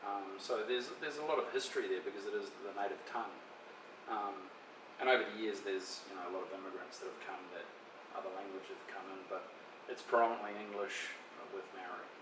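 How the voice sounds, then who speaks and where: A man's very fast speech in a New Zealand accent, with big swings in loudness and audible room echo. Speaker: interviewee. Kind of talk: interview.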